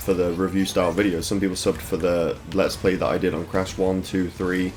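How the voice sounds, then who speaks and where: Music plays in the background. Over it, a man with a very deep, low pitch talks at a fairly quick pace. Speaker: gaming YouTuber. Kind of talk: gameplay commentary. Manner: monotone.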